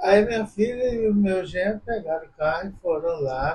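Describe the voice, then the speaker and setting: A man talks in a high voice, his pitch rising and falling a normal amount and his pace moderate. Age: 70s. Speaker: visually impaired interviewee. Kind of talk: casual interview.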